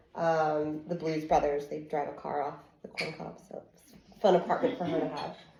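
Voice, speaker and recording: Audible room echo surrounds a woman speaking with an American accent. She keeps a moderate pace. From US South, Kentucky. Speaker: digital marketing entrepreneur. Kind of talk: networking presentation.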